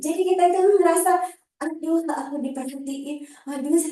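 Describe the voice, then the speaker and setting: A shrill yet dark, mellow woman's voice at a moderate pace, with ordinary pitch variation and audible room echo. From Java, Banyuwangi. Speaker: public speaking trainer. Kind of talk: workshop talk. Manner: casual, conversational.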